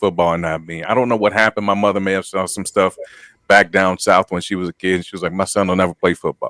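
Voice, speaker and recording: The man's voice is loud, with a bright, sharp tone. The sound is dry and close, with no echo. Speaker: podcast co-host, former college football player. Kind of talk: casual chat. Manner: halting.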